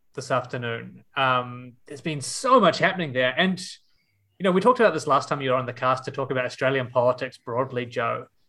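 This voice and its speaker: Fairly quick speech with a bright, sharp tone, a New Zealand accent and ordinary pitch variation. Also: man, very clean recording, silent background. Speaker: podcast host. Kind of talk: casual chat.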